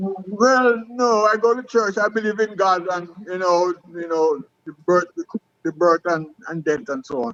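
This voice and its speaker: Delivery comes at a fairly slow pace with a dry, close sound and no echo. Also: man, high pitch for a man, ordinary pitch variation. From Jamaica, Westmoreland. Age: 70s. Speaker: retired athlete. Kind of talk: interview. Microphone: phone mic, far from it.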